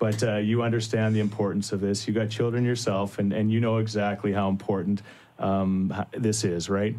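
With a Canadian accent, a man speaks at a moderate pace in a fairly low pitch, his dark, mellow tone held at very even loudness and a monotone, flat intonation. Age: 40s. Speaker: radio host. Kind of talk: casual radio chat. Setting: studio.

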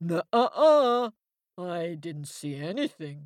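Fairly slow, middle-pitched delivery in a put-on character voice. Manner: dismissive, denying.

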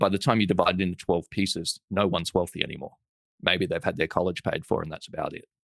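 In an Australian accent, the speaker goes at a very fast pace with fairly even intonation. The sound is dry and close, with no echo. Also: man, very deep, low pitch for a man. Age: 30s. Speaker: entrepreneur and investor. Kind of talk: interview conversation.

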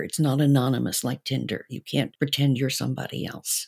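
Captured in a very clean recording with a silent background, a woman with vocal fry speaks at a fairly quick pace in a very deep, low voice with a dark, mellow tone. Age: 70s. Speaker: sex educator and counselor. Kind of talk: panel debate.

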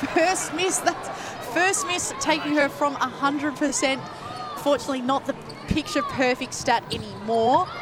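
The speaker moves at a fairly slow pace with ordinary pitch variation while noticeable background noise runs underneath. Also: woman, high pitch for a woman. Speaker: netball commentator. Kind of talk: live sports commentary. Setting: stadium broadcast with crowd.

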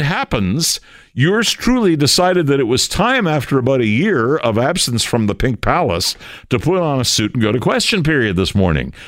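A man at medium pitch swings very widely in pitch while keeping a very even loudness, speaking at a moderate pace in a very clean recording with a silent background. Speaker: fill-in radio host, former legislator. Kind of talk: radio talk show monologue. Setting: radio studio. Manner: conversational with frequent fillers and restarts.

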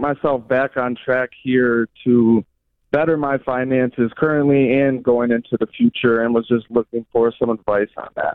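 This is a man with an ordinary speaking voice. He talks at a medium pitch and a moderate pace. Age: 20s. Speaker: caller, recovering gambler. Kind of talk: phone call-in. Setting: phone call.

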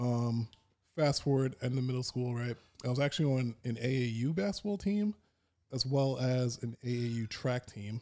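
A man with an American accent speaks at a medium pitch in a dark, mellow tone, with ordinary pitch variation. The recording is very clean, with a silent background. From New York, Long Island. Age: 30s. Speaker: powerlifter. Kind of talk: casual chat.

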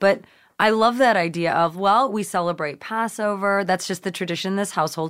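In a plain, everyday voice, a woman talks fairly quickly at a medium pitch with ordinary pitch variation, and the recording is very clean with a silent background. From Canada, Nova Scotia. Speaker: actress and writer. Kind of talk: casual chat.

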